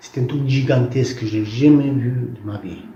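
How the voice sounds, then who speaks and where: The speaker is a man at medium pitch. His voice shows ordinary pitch variation. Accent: non-native. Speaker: visionary recounting prophetic visions. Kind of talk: testimony. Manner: halting, with many false starts.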